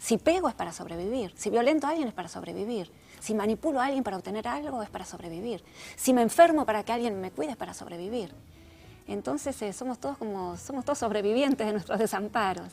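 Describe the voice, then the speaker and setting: In a Rioplatense accent, a woman speaks at a very fast pace with a fairly high pitch. Her intonation is lively. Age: 60s. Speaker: therapist and author. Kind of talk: interview.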